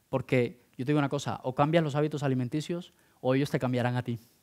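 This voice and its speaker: Over a quiet background, a man talks at a very fast pace in a fairly high pitch with fairly even intonation. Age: 30s. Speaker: speaker at entrepreneurship program; conference speaker. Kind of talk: conference talk. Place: hall. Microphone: headset.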